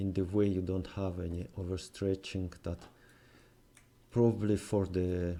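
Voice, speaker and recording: A man with a non-native accent talks at a fairly slow pace in a very deep, low pitch, his dark, mellow tone flat and monotone and broken by long, frequent pauses. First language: not English. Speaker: game development tutorial maker. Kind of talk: tutorial. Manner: halting, many fillers.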